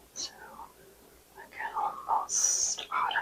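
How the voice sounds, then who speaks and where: The tone is calm. The pace is very slow. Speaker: ASMR creator and artist. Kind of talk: ASMR roleplay, seasonal color analysis. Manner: whispered, soft, calm.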